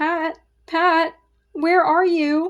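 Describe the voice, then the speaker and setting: A woman does a put-on character voice, squeaky and extremely high in pitch, with monotone, flat intonation. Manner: angry, calling out.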